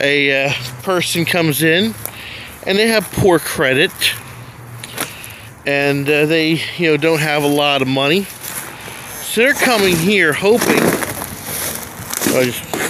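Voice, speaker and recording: The speech moves at a very slow pace, with a dry sound with no echo and noticeable background noise. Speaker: urban explorer vlogger. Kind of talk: casual vlog narration. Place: street. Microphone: phone near.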